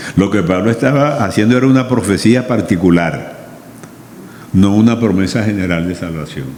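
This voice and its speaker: There is noticeable background noise and audible room echo. A man with a fairly low pitch talks at a moderate pace with lively intonation. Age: 80s+. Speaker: pastor. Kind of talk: sermon.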